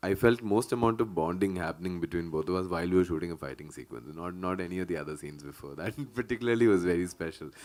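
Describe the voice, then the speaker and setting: A man talks in a very deep, low pitch with ordinary pitch variation. The recording is very clean, with a silent background. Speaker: film actor. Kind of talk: press conference. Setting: press meet.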